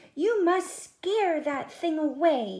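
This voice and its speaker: A squeaky, high-pitched put-on character voice. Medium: read story. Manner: noisy, excitable.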